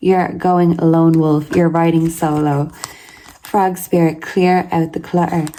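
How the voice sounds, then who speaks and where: A woman speaks very slowly in a fairly low pitch, her intonation monotone and flat and her loudness very even. Noticeable background noise runs under her voice. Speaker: tarot reader. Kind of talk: tarot reading.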